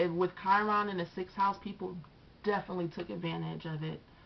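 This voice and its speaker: Soft-spoken, this woman talks with a fairly low pitch. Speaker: astrology and tarot youtuber. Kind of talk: casual monologue to camera. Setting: on camera, video recording. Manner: pushing voice louder than normal.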